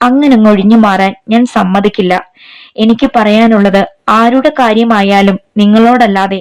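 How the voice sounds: It is a natural reading voice against a quiet background.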